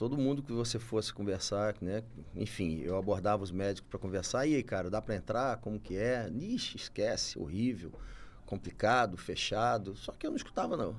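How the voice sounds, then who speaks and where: A man talks at a moderate pace with lively intonation. His is an unremarkable speaking voice. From Campos, Rio de Janeiro state, Brazil. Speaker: doctor and entrepreneur. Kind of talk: podcast interview. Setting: studio.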